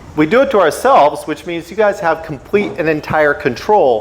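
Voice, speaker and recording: In an American accent, a high-pitched man speaks at a moderate pace with lively intonation and an animated tone, against noticeable background noise. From US, Washington state. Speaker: motorcycle riding instructor. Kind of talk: lecture. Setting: stage with audience.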